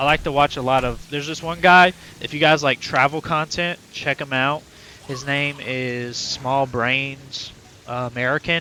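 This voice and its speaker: A man with fairly even intonation and a fairly high pitch keeps a moderate pace amid noticeable background noise. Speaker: gaming streamer. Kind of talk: casual live-stream chat. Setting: live stream. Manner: loud.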